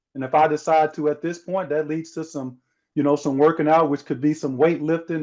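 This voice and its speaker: A man with an American accent speaks in a fairly high voice with monotone, flat intonation. The background is quiet. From US South. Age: 40s. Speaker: former pro basketball player and motivational speaker. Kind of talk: interview conversation.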